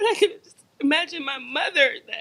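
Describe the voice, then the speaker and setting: A woman's bright, sharp tone comes through in a raised, projected voice. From Jamaica. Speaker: activist, family member of police shooting victim. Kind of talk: testimony at public rally. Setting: lecture hall event with audience.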